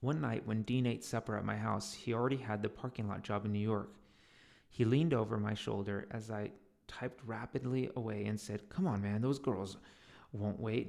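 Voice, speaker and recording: A man talks at medium pitch and a moderate pace, with ordinary pitch variation and a normal speaking voice. The recording is very clean, with a silent background. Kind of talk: audiobook reading.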